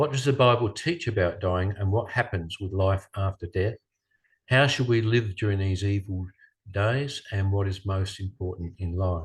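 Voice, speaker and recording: Over a quiet background, a man with an Australian accent speaks at a moderate pace, somewhat breathy, in a fairly low pitch with ordinary pitch variation. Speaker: speaker. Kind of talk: lecture. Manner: halting.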